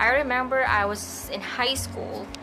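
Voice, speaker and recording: Backed by music and audible room echo, a woman speaks. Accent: Filipino. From Philippines. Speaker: beauty and lifestyle vlogger. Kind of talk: casual vlog to camera. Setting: bedroom at night. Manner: soft-spoken.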